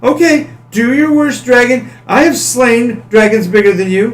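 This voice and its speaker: Putting on a character voice, a man speaks at an extremely high pitch. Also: moderate pace. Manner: cocky, defiant.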